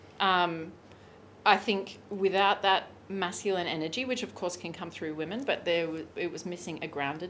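In an Australian accent, a woman talks at a medium pitch. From Australia, Brisbane. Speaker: sex and pleasure coach. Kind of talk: casual interview.

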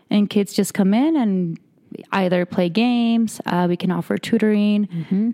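A woman with a Spanish accent speaks at a medium pitch and moderate pace, her tone dark and mellow, with ordinary pitch variation and very even loudness. The recording is very clean, dry and close, with no echo and a silent background. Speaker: behavioral health case manager. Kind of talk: interview.

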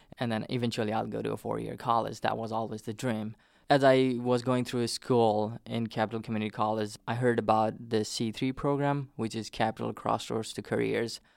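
On a very clean recording with a silent background, a man with a Nepali accent speaks fairly quickly at a medium pitch, monotone and flat, with hardly any pauses. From Nepal, southern plains. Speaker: immigrant. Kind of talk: oral history interview.

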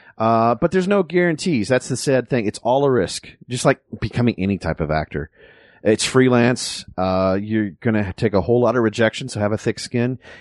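A normal speaking voice with an American accent moves at a fairly quick pace with lively intonation. The sound is dry and close with no echo, against a quiet background. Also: man, medium pitch for a man. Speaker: voice actor and former radio DJ. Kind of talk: casual interview.

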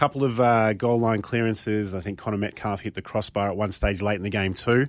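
In an Australian accent, a man with a fairly low pitch speaks at a fairly quick pace and with fairly even intonation on a very clean recording with a silent background. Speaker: football pundit. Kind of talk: casual chat.

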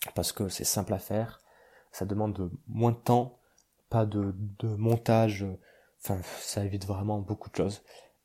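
On a very clean recording with a silent background, a man with a dark, mellow, somewhat breathy tone speaks at a fairly slow pace in a monotone, flat intonation, leaving long, frequent pauses. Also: fairly low pitch for a man. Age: 20s. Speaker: podcast host. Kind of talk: casual monologue. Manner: halting, many fillers.

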